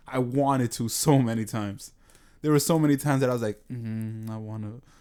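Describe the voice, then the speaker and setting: Talking at a very fast pace with a New York accent, a man uses a medium pitch, a dark, mellow tone and fairly even intonation. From New York, the Bronx. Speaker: podcast co-host. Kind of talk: casual chat.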